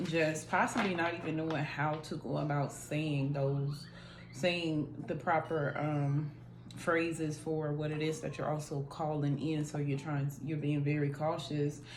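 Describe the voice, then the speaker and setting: Amid audible room echo and noticeable background noise, a woman with a very deep, low pitch talks at a fairly slow pace in a monotone, flat intonation. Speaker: tarot reader. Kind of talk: tarot reading. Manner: casual.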